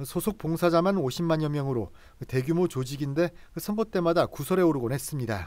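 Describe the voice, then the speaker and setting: A man's dark, mellow voice, high in pitch, with ordinary pitch variation and a fairly quick pace. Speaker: news reporter. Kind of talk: TV news report.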